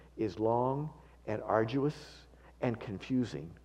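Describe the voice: The clip is plain reading aloud. Nothing more is done than reading the words.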